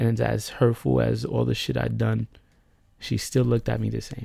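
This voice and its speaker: A man's very deep, low voice with a dark, mellow tone and very wide pitch swings. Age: 30s. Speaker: podcaster telling personal story. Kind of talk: personal monologue. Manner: rambling, fast.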